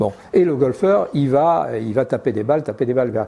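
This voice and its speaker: There is noticeable background noise. Over it, a man speaks with lively intonation. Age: 70s. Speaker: golf clubmaker and fitter. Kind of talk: interview. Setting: workshop. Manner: hesitant, many fillers.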